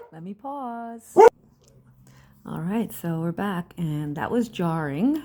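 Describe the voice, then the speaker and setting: A soft-spoken woman at a medium pitch with a dark, mellow tone, very wide pitch swings, big swings in loudness, a very slow pace and long, frequent pauses. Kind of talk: soft-spoken ASMR crafting talk.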